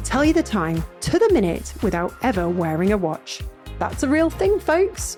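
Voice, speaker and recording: A woman speaks at a fairly quick pace with music in the background. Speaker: podcast host. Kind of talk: podcast intro read.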